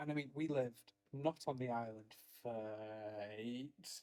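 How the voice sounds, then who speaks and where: A man with a North Welsh accent speaks at a very slow pace in a dark, mellow tone. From Wales, Anglesey (Holyhead area). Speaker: druid order member. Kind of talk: casual chat. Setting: office.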